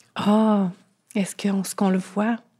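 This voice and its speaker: In a Quebec accent, the voice is somewhat breathy and delivered in a monotone, flat intonation. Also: woman. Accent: Québécois French. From Quebec, Thetford Mines. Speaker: guest sharing eating disorder experience. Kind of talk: testimony.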